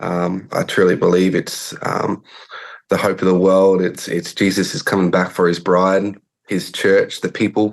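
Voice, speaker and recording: Speaking at a fairly slow pace, a man in an Australian accent has a very deep, low pitch and monotone, flat intonation. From Australia, rural South Australia. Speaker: pastor and church planter. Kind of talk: interview. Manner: hesitant, many fillers.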